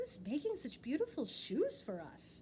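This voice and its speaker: A woman's put-on character voice, high-pitched, with very wide pitch swings, a moderate pace and clear background noise. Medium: read story.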